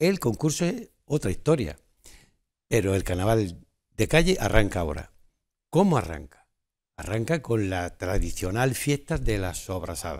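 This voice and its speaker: A man's fairly low, fairly slow speech with very wide pitch swings and long, frequent pauses, over a quiet background. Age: 70s. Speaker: carnival organizer. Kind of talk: TV interview. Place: studio.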